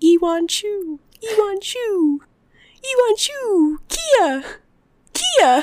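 Very slow and extremely high-pitched, this put-on character voice moves along with long, frequent pauses. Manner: creepy.

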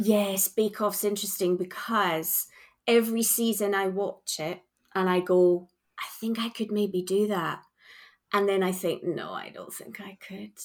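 A woman with a Scottish accent speaks at a fairly slow pace with monotone, flat intonation. Her loudness swings widely. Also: medium pitch for a woman. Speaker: charity worker. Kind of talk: casual chat.

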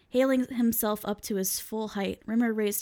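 Someone reads aloud in a natural voice. The intonation stays fairly even.

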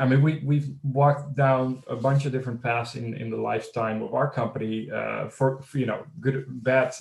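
The speaker has a Dutch accent and a somewhat breathy voice. Intonation stays fairly even at a moderate pace. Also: man. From Netherlands. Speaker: fintech startup CEO. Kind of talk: interview.

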